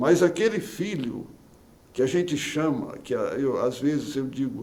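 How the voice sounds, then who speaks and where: This is a man speaking. His intonation is lively. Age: 60s. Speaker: politician and pastor. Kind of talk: interview. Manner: calm.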